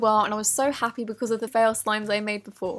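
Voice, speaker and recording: Over music in the background, a woman with a fairly high voice speaks at a very fast pace in an upbeat tone. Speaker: DIY slime YouTuber. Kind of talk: DIY tutorial voice-over.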